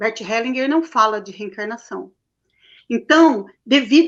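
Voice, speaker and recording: Her voice is high-pitched with lively intonation, a woman speaking. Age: 60s. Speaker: holistic therapist. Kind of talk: interview.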